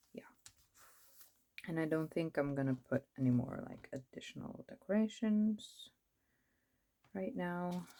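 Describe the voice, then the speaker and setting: A woman with a Norwegian accent speaks with lively intonation and big swings in loudness. She takes long, frequent pauses. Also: fairly slow pace. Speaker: planner vlogger. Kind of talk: casual chat. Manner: casual, rambling with fillers.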